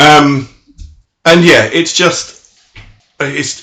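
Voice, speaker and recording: A man's voice carries a bright, sharp tone with a British accent. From Britain. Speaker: podcast co-host. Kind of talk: casual chat.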